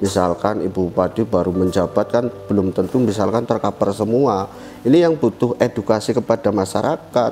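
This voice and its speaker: Noticeable background noise sits behind a man talking at a fairly quick pace. His pitch is fairly low, with ordinary variation. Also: very even loudness. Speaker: village head. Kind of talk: podcast interview.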